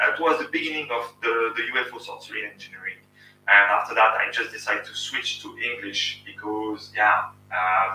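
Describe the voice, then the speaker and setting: A man with a French accent at a moderate pace, with big swings in loudness. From France. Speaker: YouTube channel host, engineer. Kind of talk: casual live stream Q&A. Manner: halting.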